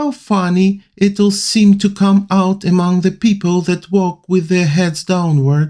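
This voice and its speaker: In a Russian accent, a man speaks at a high pitch. His tone is dark and mellow. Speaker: amateur reader. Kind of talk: audiobook reading.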